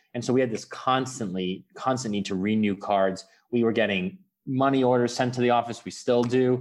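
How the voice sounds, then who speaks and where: Here is a man with an unremarkable speaking voice at a medium pitch. He keeps a moderate pace and fairly even intonation. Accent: American. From US, New York City. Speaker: startup founder. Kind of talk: interview.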